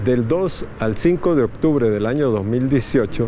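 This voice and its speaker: A man, with light background noise. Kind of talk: institutional report statement. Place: garden. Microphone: lapel.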